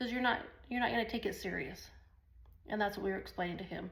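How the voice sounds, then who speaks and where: A woman's animated tone with vocal fry, in audible room echo. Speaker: online business vlogger. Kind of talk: casual talk to camera. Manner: fast; rambling, animated.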